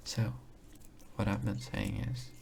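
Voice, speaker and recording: There is noticeable background noise. A man talks over it. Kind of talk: ASMR soft-spoken talk to camera. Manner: soft-spoken, calming, slow.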